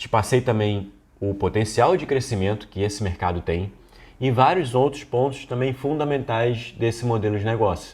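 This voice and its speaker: Somewhat breathy and medium in pitch, a man talks with ordinary pitch variation. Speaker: business course instructor. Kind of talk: online lecture. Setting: screen recording. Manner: not fast.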